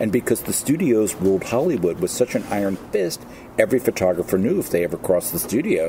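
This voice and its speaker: An ordinary speaking voice moves at a fairly quick pace with lively intonation over light background noise. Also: man. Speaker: guest. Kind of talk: interview answer. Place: waterside.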